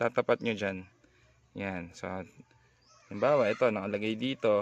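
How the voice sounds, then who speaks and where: At a moderate pace, a man speaks with vocal fry in a fairly low voice, his pitch varying in an ordinary way, the sound dry and close with no echo. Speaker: motorcycle hobby vlogger. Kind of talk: tutorial; voice-over narration. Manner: casual, filler-heavy; soft-spoken on camera.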